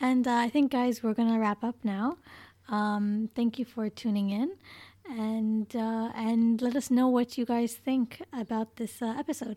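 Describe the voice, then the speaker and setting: Recorded dry and close with no echo, a woman with an unremarkable speaking voice and fairly high pitch speaks at a fairly slow pace with fairly even intonation. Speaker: podcast co-host. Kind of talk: casual chat.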